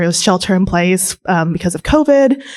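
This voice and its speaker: In a Californian accent, a woman speaks at medium pitch on a very clean recording with a silent background. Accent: Californian American English. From California, Bay Area. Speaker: romance author panelist. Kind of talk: convention panel discussion. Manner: halting, many filler ums.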